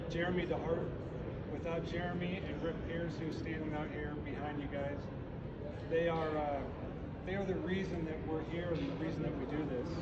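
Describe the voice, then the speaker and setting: A man at a moderate pace with long, frequent pauses, over loud background noise. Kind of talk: seminar talk to audience. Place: hall. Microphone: camera far.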